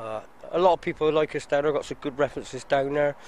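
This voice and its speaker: A man talks in a Bristol accent. His delivery is monotone and flat at a moderate pace. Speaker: scaffolder, small business owner. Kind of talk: casual interview. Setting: outdoors. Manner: halting.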